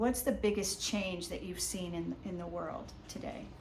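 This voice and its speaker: This is a woman's voice. Vocal fry runs through her speech. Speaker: interviewer. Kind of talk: casual interview questions.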